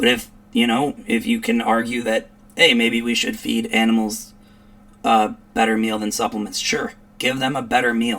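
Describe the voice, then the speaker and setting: A man with an American accent speaks at a moderate pace. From US Midwest, Chicago area. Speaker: commentary streamer. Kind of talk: reaction commentary. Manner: animated.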